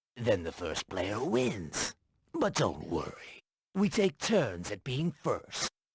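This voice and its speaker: Using a put-on character voice, a man talks at a very slow pace and medium pitch with very wide pitch swings, the sound dry and close with no echo. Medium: video game. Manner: smooth, persuasive.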